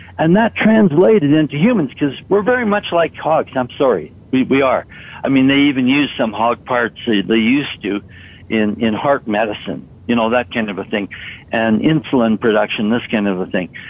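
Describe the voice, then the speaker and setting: With a normal speaking voice, a man of medium pitch talks at a moderate pace and with lively intonation. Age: 60s. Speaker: health supplement company co-founder. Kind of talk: podcast interview. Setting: internet talk radio.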